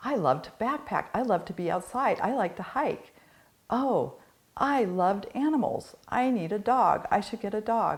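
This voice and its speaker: On a very clean recording with a silent background, a woman has a normal speaking voice at a fairly high pitch. She talks at a moderate pace with lively intonation. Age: 60s. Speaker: addiction counselor. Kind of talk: casual chat.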